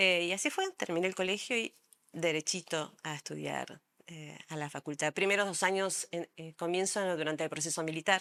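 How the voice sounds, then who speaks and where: Recorded dry and close with no echo, a woman with a Rioplatense accent speaks at a moderate pace in a fairly low pitch, her tone bright and sharp, her intonation fairly even and her loudness swinging widely. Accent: Rioplatense Spanish (porteño). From Argentina, Buenos Aires. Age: 60s. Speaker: psychologist and art therapist. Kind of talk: interview. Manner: hesitant, many fillers.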